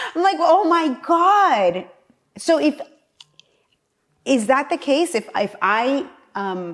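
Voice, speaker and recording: Speaking in a Spanish accent at a very slow pace, a woman with a high pitch swings very widely in pitch and leaves long, frequent pauses. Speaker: political candidate. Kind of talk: casual chat. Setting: at her home.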